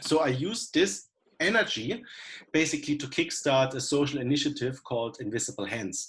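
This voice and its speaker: The man's voice is fairly high-pitched and somewhat breathy. He keeps a moderate pace. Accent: German. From Germany. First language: German. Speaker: coliving founder. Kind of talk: panel discussion. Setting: video call.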